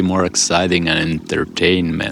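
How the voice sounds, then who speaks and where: A man's very deep, low voice, with fairly even intonation, comes through noticeable background noise. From Finland. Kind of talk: casual talk to camera. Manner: monotone, calm, serious.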